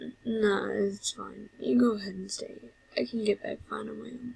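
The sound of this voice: Putting on a character voice, a woman speaks at a medium pitch and moderate pace with fairly even intonation, a slightly mellow tone, vocal fry, and a husky, rough edge.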